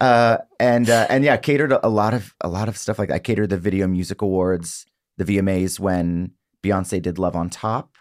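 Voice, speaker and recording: On a very clean recording with a silent background, a man with an American accent speaks fairly quickly at a fairly low pitch, with ordinary pitch variation and a normal speaking voice. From US South, South Mississippi. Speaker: singer-songwriter. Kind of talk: casual chat.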